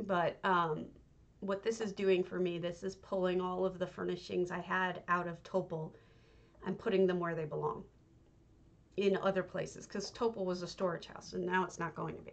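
A woman speaks quietly at a medium pitch and moderate pace. Her intonation is monotone and flat. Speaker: game streamer. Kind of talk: live stream commentary while playing. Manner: quiet, low volume; hesitant, with many fillers. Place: home room.

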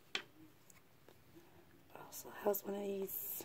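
A woman whispers, speaking very slowly. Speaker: beauty vlogger. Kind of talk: casual talk to camera. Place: home room. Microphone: phone near.

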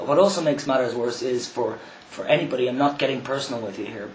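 Against light background noise and audible room echo, a man with an Irish accent speaks at medium pitch with fairly even intonation. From Ireland. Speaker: vlogger. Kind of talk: video response monologue. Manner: halting. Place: home room. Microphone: webcam.

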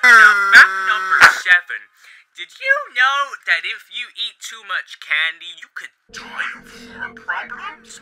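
Over music in the background, the speaker talks at a very slow pace. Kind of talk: comedy infomercial parody to camera. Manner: upbeat, jokey.

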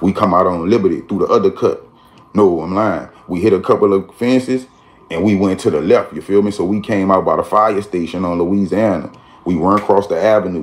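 This man has an ordinary speaking voice, fairly low in pitch, with fairly even intonation and a fairly quick pace. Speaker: storyteller. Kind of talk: casual vlog chat. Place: home room. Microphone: phone near.

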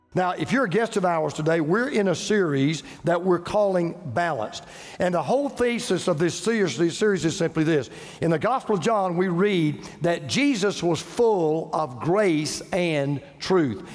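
Music is audible behind the voice. A man talks with lively intonation. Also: moderate pace. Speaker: preacher. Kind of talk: sermon. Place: church. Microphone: headset.

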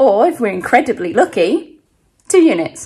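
Over a quiet background, a woman speaks at a fairly slow pace. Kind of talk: casual vlog chat. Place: home room. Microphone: phone near.

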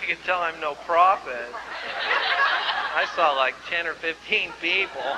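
Amid loud background noise, a man speaks at a fairly slow pace with long, frequent pauses. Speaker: pastor. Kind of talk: church sermon, revival ministry. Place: church.

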